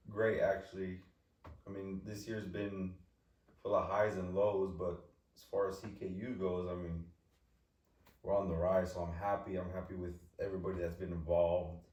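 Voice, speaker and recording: In an American accent, a man speaks at a moderate pace with a very deep, low pitch, a somewhat breathy voice and monotone, flat intonation, his loudness swinging widely. Long, frequent pauses break up his speech, and the room echo is audible. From California, Eastern Sierras. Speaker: youth soccer club leader. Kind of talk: casual podcast conversation. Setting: studio.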